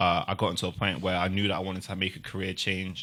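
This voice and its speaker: In a South London accent, a man with a very deep, low pitch and a bright, sharp tone talks at a fairly quick pace on a very clean recording with a silent background. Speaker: multidisciplinary artist and youth support worker. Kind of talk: podcast interview answer. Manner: casual.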